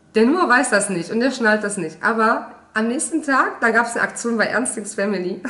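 Lively intonation and an animated tone at a fairly quick pace, over noticeable background noise. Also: woman, fairly high pitch for a woman. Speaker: mom vlogger. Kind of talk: casual vlog monologue to camera. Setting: home office, video recording. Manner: chatty, animated.

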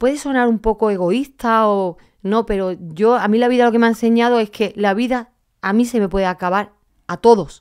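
This woman talks at a moderate pace in a fairly high pitch. Her pitch varies in an ordinary way, and the background is quiet. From Andalusia, Spain (Málaga); Andalusia, Spain. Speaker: athlete, heart transplant recipient; podcast guest. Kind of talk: interview. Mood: earnest, emotional, motivational. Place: studio. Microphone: studio mic.

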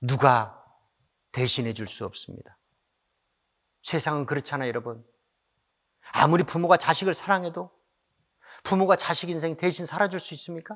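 A man speaks at a moderate pace with a fairly high pitch and lively intonation. His loudness swings widely, and he leaves long, frequent pauses. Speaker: pastor. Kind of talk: sermon. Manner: impassioned, exhorting.

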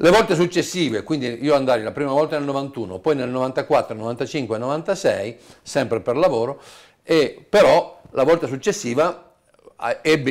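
Here a man speaks at a fairly slow pace with a fairly high pitch. His intonation is lively, and the background is quiet. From Apulia, southern Italy; raised in Turin from age 7. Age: 60s. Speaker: tango DJ. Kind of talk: interview. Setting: at home. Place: home room. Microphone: lapel.

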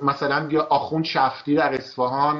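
A man is talking at a moderate pace. Behind him the background stays quiet. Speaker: political commentator host. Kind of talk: commentary. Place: studio.

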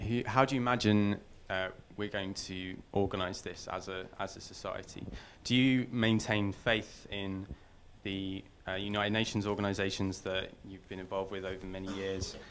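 At a moderate pace, a man talks in a fairly low pitch with monotone, flat intonation, with light background noise behind him. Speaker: audience member. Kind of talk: Q&A question. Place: hall.

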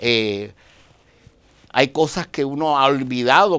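At a very slow pace, a man speaks with a bright, sharp tone and a medium pitch. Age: 60s. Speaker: dianetics practitioner; interview guest. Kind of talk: interview. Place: studio. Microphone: lapel.

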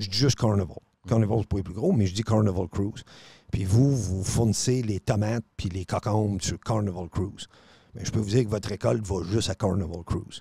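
A man's fairly low, dark, mellow voice, somewhat breathy, at a fairly quick pace, in a dry sound with no echo. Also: ordinary pitch variation, quiet background. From Quebec City (Charlesbourg); Quebec. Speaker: radio host. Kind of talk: casual chat. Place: studio. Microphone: studio mic.

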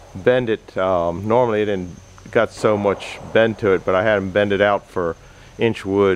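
A man with a normal speaking voice talks at a fairly low pitch. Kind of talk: casual vlog chat. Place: workshop. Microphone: phone near.

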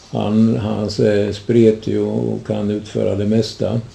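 Noticeable background noise sits behind a man's voice. He speaks very slowly at a fairly low pitch. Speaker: interviewer. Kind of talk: interview, guided local history talk. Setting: at interviewee's home. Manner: formal, somewhat old-fashioned phrasing.

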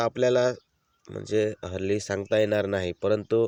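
This man's voice has a dark, mellow tone and a dry, close sound with no echo. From Maharashtra, Surgana area (Nashik district), Adivasi community. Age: 40s. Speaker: vlogger. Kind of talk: casual explanatory vlog.

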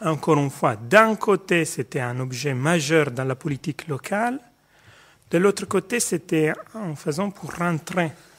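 In an Italian accent, a man speaks at a fairly slow pace with lively intonation. The background is quiet. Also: fairly high pitch for a man. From Italy. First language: Italian (speaking French). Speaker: sociology professor. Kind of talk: panel discussion. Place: hall.

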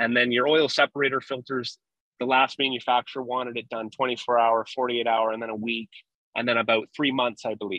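A man at a fairly quick pace, monotone and flat in intonation, with a dry sound with no echo over a quiet background. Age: 20s. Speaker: refrigeration construction foreman; guest. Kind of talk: casual technical interview. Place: car. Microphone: video call.

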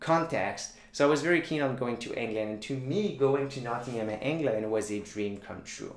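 Spoken at a moderate pace, the voice carries a Quebec French accent. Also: man.

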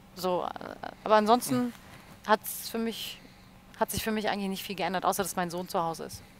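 At a moderate pace with long, frequent pauses, a woman speaks at medium pitch with ordinary pitch variation and big swings in loudness over light background noise. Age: 30s. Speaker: radio presenter and livestream host; radio presenter, livestream host. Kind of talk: casual chat. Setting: studio livestream. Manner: animated. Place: studio. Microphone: headset.

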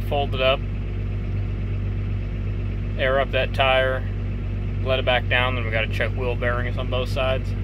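Noticeable background noise sits behind the recording. A man speaks at a moderate pace. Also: dry sound with no echo. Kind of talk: casual vlog commentary. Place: farm machine. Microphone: phone near.

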